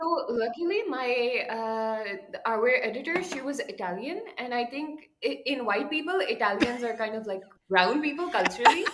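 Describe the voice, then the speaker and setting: With a Pakistani accent, a woman speaks in a high pitch at a moderate pace, with lively intonation and hardly any pauses, over noticeable background noise. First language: Urdu. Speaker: writer and translator. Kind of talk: podcast interview.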